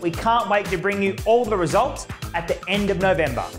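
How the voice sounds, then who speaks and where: A man speaks in a high voice with fairly even intonation, with clear music in the background. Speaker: auctioneer. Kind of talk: market update talk to camera. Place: studio. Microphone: lapel.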